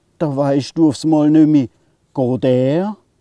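In an Alemannic accent, a man speaks at a fairly high pitch with a dark, mellow tone, his sound dry with no echo against a quiet background. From southwest Germany, Alemannic region. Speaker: poet. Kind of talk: poetry reading.

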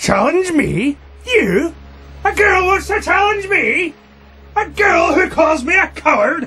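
Extremely high in pitch, this is a put-on character voice at a fairly slow pace. Long pauses come often. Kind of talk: amateur radio drama acting. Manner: menacing, barking orders.

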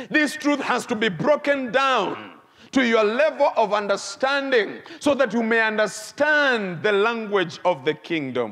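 Against a quiet background, a man uses a raised, projected voice at a high pitch, swinging very widely in pitch at a fairly slow pace. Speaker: bishop. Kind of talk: emphatic church sermon, repeating key phrases like 'the truth must be revealed'. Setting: church before live congregation. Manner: rhythmic, repetitive preaching cadence with mounting intensity; prompts congregation to shout responses. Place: church. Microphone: lapel.

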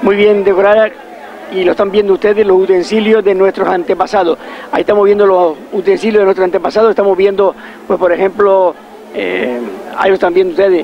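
With crowd noise in the background, the speaker talks at a very fast pace with fairly even intonation, and the sound is dry with no echo. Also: man, high pitch for a man. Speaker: local event commentator. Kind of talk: live commentary. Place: street.

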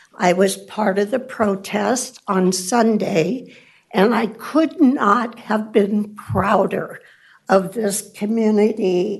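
Speaking very slowly with an American accent, a woman uses a medium pitch and ordinary pitch variation, with audible room echo around her voice. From Elk Grove, California, US. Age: 80s+. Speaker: public commenter. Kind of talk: public comment at council meeting. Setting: city council chamber.

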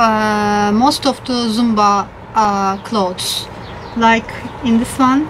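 A very slow, fairly even delivery with a non-native accent over light background noise. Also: woman. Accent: non-native English speaker. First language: not English. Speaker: Zumba fitness instructor. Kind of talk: casual talk to camera, unboxing haul. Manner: hesitant, with fillers. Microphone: phone near.

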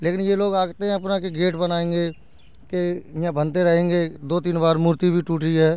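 Monotone, flat intonation from a man with a high pitch, in a dry sound with no echo. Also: moderate pace. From Uttar Pradesh. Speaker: village resident; interviewee. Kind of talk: street interview. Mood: earnest, aggrieved complaint. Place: open country. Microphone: handheld.

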